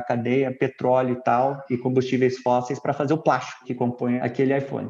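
At a moderate pace, a man talks in a dark, mellow tone at medium pitch. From Rio de Janeiro, raised in São Paulo. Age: 40s. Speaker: climate tech founder and CEO. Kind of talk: remote podcast interview. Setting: recording remotely from home.

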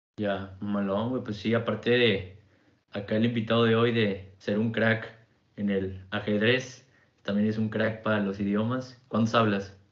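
A man's fairly low voice in a monotone, flat delivery, with audible room echo. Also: fairly slow pace. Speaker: podcast host. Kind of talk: casual interview.

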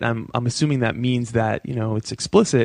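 A man speaks in an animated, upbeat tone, captured with a dry, close sound and no echo. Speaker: podcast host. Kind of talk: casual interview.

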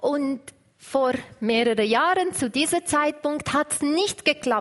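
A woman speaks with a high pitch and lively intonation. Her pace is very slow. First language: Arabic (speaking German). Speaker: churchgoer sharing her story. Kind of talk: testimony. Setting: church service with congregation.

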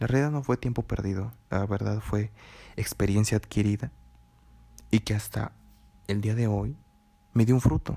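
This somewhat breathy voice has a dark, mellow tone, ordinary pitch variation, a moderate pace and a Mexican accent. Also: man. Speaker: taquería worker and student. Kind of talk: personal audio diary. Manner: halting.

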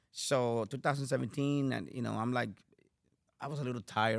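In a Spanish accent, a man talks at a fairly quick pace with ordinary pitch variation. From Dominican Republic. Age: 50s. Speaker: insurance agency owner. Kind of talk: interview. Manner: animated.

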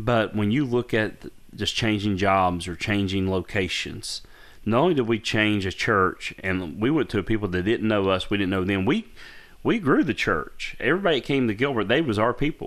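An ordinary speaking voice comes from a man with a fairly low pitch, ordinary pitch variation and a moderate pace. The recording is very clean, with a silent background. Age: 40s. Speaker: pastor and podcast co-host. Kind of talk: casual chat.

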